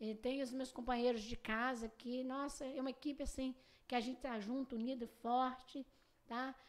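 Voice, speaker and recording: With a high-pitched voice and flat, monotone intonation, a woman talks at a moderate pace. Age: 50s. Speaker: spiritist practitioner. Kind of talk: casual interview. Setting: studio.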